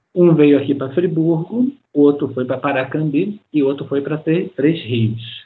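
A man's plain, everyday voice, fairly high in pitch, fairly slow, with ordinary pitch variation. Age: 50s. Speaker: science teacher and planetarium director. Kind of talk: interview.

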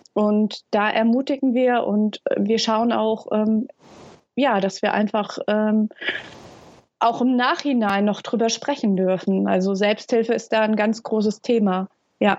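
A woman speaks with a fairly high pitch at a very slow pace. Her intonation is fairly even and her loudness very even. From Hesse, Germany. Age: 30s. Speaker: founder of a young carers' initiative. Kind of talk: interview. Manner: halting, many fillers.

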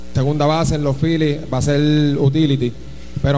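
Against noticeable background noise and audible room echo, a man speaks at a fairly high pitch with monotone, flat intonation. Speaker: baseball team manager. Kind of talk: speech to a team event.

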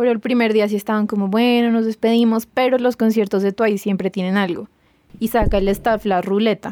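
A woman's fairly high, dark, mellow voice, monotone and flat, at a fairly quick pace and very even loudness, in a very clean recording with a silent background and a dry, close sound with no echo. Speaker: podcast guest, K-pop fan. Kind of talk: casual chat.

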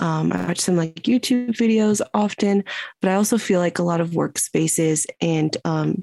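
Recorded in a dry, close sound with no echo, a woman talks at a fairly slow pace. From Ohio, US (born in Morocco, moved at two). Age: 20s. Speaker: public health graduate. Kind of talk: casual chat.

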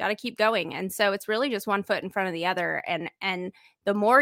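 A bright, sharp tone with ordinary pitch variation, in a dry, close sound free of echo. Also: woman. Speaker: online business owner and podcaster. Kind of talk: casual interview chat. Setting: video call livestream.

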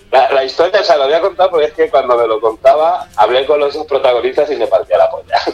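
Background noise is clearly noticeable. Over it, a man delivers his words very quickly. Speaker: book section contributor. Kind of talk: casual chat. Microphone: phone line with echo.

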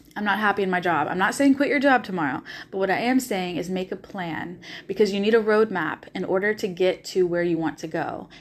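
Very clean and set against a silent background, the recording has a woman in a Southern US accent speaking at medium pitch and a fairly quick pace, with an animated tone. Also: ordinary pitch variation. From US South, Nashville, Tennessee. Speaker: podcast host and life coach. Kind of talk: solo monologue podcast.

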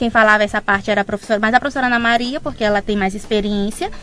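Music plays behind a woman speaking in a fairly high voice. Her intonation stays fairly even. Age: 20s. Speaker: physiotherapy student. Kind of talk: radio interview.

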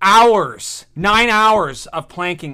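The recording is very clean and the background silent. A man talks in a bright, sharp tone. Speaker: sports podcast co-host. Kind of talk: casual chat.

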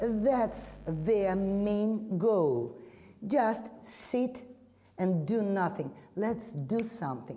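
In a Russian accent, a woman speaks at a very slow pace and medium pitch, her dark, mellow tone carrying lively intonation over audible room echo. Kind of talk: panel discussion.

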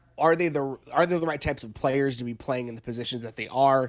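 The speaker keeps a fairly even intonation while noticeable background noise carries on. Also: man. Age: 30s. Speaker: sports podcaster and writer. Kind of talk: casual chat.

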